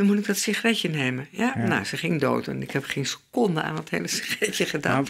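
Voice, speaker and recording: A woman with a very deep, low pitch talks at a very fast pace with hardly any pauses and very wide pitch swings. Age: 80s+. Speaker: relationship therapist; guest. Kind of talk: interview answer. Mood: reflective, candid. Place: home room. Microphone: studio mic.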